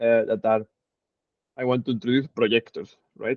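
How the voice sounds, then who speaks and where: Medium in pitch with ordinary variation, a man talks at a fairly quick pace. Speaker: physics instructor. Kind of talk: lecture. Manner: halting.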